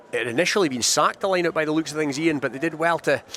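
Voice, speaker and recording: An excited man with a Scottish accent, over noticeable background noise. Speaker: rugby match commentator. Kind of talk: live sports radio commentary. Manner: fluent, excited, fast-paced.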